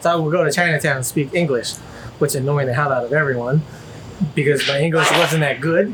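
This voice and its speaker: At a very fast pace, a man talks with a fairly high pitch and fairly even intonation. Noticeable background noise is present. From China. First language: Chinese. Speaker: vlogger interviewed about his relationship. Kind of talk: casual interview chat. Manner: halting, many fillers and restarts.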